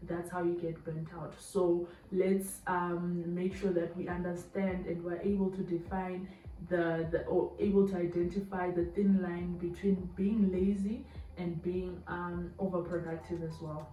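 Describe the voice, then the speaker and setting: A woman speaks at a fairly slow pace in a fairly low pitch, her intonation monotone and flat. Noticeable background noise runs underneath. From Zimbabwe. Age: 20s. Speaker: YouTuber. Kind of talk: casual talk to camera.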